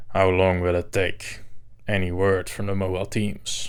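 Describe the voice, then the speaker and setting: A man growls in a put-on character voice, very deep and low, at a moderate pace, on a very clean recording with a silent background. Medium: read story. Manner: angry, growling.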